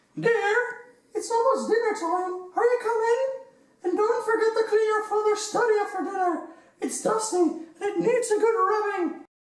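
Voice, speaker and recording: Putting on a squeaky character voice at an extremely high pitch, a woman talks at a moderate pace with ordinary pitch variation and a slight echo. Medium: audio drama.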